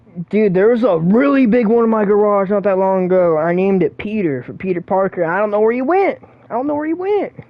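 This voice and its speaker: Over noticeable background noise, the speaker races along at a very fast pace with hardly any pauses. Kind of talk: casual gaming livestream talk. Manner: casual, profane.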